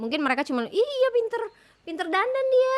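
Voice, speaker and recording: A shrill woman's voice with very wide pitch swings. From Sulawesi, Indonesia. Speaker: singer and podcast co-host. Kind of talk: casual chat.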